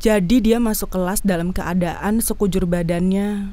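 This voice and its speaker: Speaking at a moderate pace and medium pitch, a woman has a dark, mellow tone and fairly even intonation. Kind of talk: first-person horror story narration.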